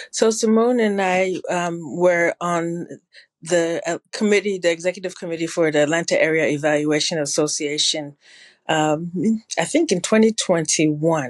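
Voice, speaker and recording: In a Ghanaian accent, a woman speaks at a moderate pace. Her pitch is fairly low and varies in an ordinary way. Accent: sounds Ghanaian. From New Jersey, Ghanaian family. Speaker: public health evaluation consultant. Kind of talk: interview conversation.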